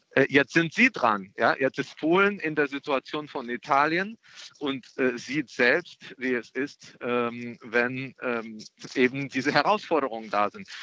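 A man speaks very slowly at a medium pitch with a Russian accent. His intonation is lively. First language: Russian (speaking German). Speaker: member of European Parliament, Green politician. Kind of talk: radio interview. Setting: phone call from an airport. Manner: hesitant, many filler sounds.

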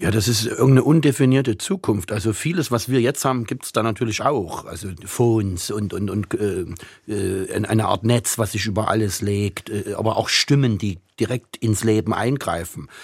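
Fairly low-pitched, somewhat breathy male speech at a moderate pace, with ordinary pitch variation. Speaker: writer and translator. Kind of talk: interview. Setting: remote line.

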